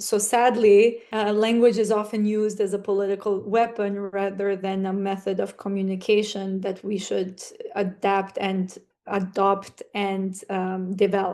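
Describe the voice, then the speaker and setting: In an Albanian accent, the voice is dark and mellow, flat and monotone, at a fairly slow pace. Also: woman, medium pitch for a woman. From North Macedonia, Struga (Albanian community). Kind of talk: podcast interview.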